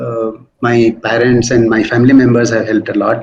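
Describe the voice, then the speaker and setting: Speaking at a moderate pace, a man with an Indian accent uses a medium pitch. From India, Hindi-speaking. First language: Hindi. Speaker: senior plastic surgeon. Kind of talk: interview.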